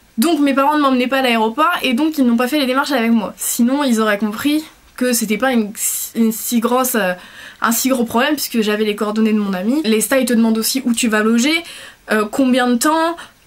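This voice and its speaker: Woman with a high pitch and ordinary pitch variation, at a fairly quick pace with very even loudness, over noticeable background noise. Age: 20s. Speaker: vlogger. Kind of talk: casual chat. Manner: fast; hesitant.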